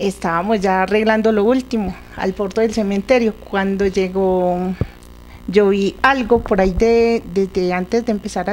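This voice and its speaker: A moderate pace with fairly even intonation. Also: woman. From Colombia, La Unión, Antioquia; Antioquia, Colombia. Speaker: local resident; interviewee. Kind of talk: storytelling interview. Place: home room. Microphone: handheld.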